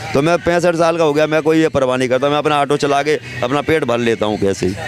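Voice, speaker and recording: Music plays behind a man with a fairly high pitch. His loudness stays very even, and his pitch varies in an ordinary way. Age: 60s. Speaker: auto-rickshaw driver. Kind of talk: street interview.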